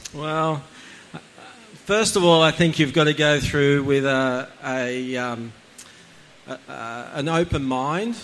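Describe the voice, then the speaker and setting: In an Australian accent, a man talks at a medium pitch with ordinary pitch variation. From Australia, Central Coast NSW. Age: 40s. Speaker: church attendee sharing testimony. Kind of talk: testimony. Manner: halting.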